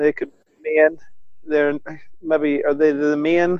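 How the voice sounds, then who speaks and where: Here a man speaks with a Northern Irish accent at a fairly high pitch. His intonation is monotone and flat. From Northern Ireland. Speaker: northern correspondent, co-host. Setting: video call, lying in bed.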